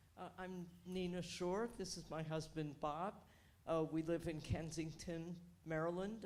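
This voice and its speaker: A woman speaks in a plain, everyday voice at a moderate pace. Her pitch is fairly low and her intonation fairly even. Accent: American. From New York, Queens. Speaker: audience member, board member. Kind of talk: casual remarks from audience.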